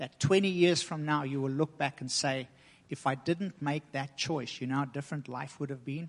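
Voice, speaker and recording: The speaker is a man with an unremarkable speaking voice, fairly high in pitch. His intonation is fairly even, and the background is quiet. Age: 40s. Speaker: guest preacher. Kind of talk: sermon.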